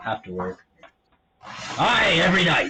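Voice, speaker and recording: This man is doing a put-on character voice. He talks at a moderate speed. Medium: actual play. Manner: hearty, gruff, friendly.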